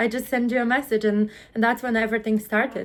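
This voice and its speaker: The woman has a Polish accent and a fairly high pitch. Her intonation is monotone and flat. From Poland. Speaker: UGC content creator. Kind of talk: interview.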